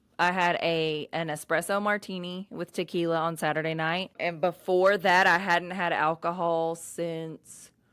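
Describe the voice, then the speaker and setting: Hardly pausing, a woman speaks in a fairly low pitch with monotone, flat intonation. The recording is very clean, with a silent background. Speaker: podcast host. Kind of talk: casual solo podcast rant. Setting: on camera at home. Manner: loud, outgoing; yawning at times.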